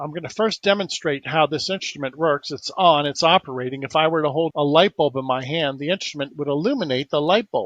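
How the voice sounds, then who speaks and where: This man has an ordinary speaking voice, talking at a fairly high pitch and a fairly quick pace with ordinary pitch variation and hardly any pauses, in a dry, close sound with no echo. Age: 60s. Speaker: inventor and alternative healer. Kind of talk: interview.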